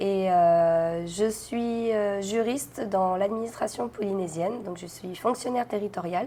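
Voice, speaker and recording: At a very slow pace, a woman speaks in a dark, mellow tone at a medium pitch with ordinary pitch variation. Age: 30s. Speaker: interviewee sharing birth story. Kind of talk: testimony interview. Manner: hesitant, many fillers.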